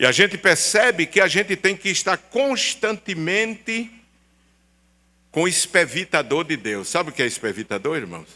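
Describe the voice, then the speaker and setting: A man talks at a moderate pace with a high pitch, a bright, sharp tone and lively intonation. The recording is very clean, with a silent background. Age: 70s. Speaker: pastor. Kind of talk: sermon. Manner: animated.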